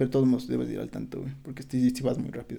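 A man speaks with a Mexican accent. His tone is dark and mellow. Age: 20s. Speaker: podcast guest. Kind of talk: casual chat.

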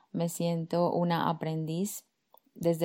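A very clean recording with a silent background carries a voice of dark, mellow tone. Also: woman. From Colombia, Medellín, moved to Barcelona at 11. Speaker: life coach, podcast host. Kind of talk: personal monologue.

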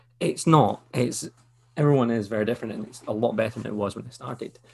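A man talks at a fairly quick pace with ordinary pitch variation. He speaks with a Scottish accent. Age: 30s. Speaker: podcast host. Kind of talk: casual chat.

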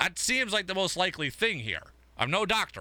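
In a very clean recording with a silent background, a high-pitched man speaks at a moderate pace with an animated tone and a bright, sharp tone. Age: 30s. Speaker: sports radio host. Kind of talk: sports talk radio.

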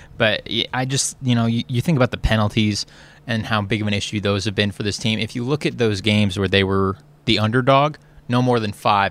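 At a fairly quick pace, a man with an unremarkable speaking voice talks at fairly low pitch with fairly even intonation. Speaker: sports beat writer. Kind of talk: post-game sports analysis chat.

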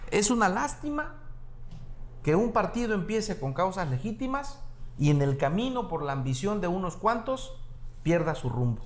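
Amid audible room echo, a man talks at a moderate pace in a high pitch that swings very widely. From Mexico, Acapulco (Guerrero). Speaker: plastic surgeon and campaign coordinator. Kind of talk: political interview.

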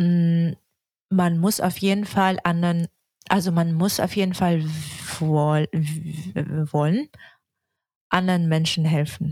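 At a very slow pace with long, frequent pauses, a woman speaks somewhat breathily at a fairly low pitch, with fairly even intonation and very even loudness, in a dry, close sound with no echo. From Yakutsk, Russia. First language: Russian (speaking German). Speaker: urban planning student. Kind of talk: interview. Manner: halting.

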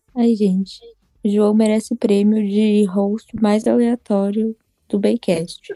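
The delivery is very slow and monotone, with flat intonation and very even loudness. The tone is dark and mellow, and the sound is dry and close with no echo. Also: woman, fairly high pitch for a woman. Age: 20s. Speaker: podcast co-host. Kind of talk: casual chat.

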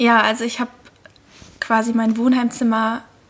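A woman speaks at a moderate pace with a fairly high pitch. Noticeable background noise is present. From Lake Constance region, southern Germany. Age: 20s. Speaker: intern, media student. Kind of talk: casual chat.

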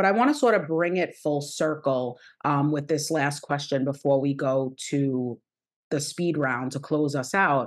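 A woman's very deep, low voice at a fairly slow pace, with ordinary pitch variation, very even loudness, and a quiet background. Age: 40s. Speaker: podcast host and wellness coach. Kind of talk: casual interview.

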